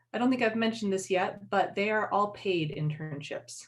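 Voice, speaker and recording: The speaker talks in a normal speaking voice, neither fast nor slow, at a moderate pace. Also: woman. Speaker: university career center staff. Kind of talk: online info session presentation. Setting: livestream.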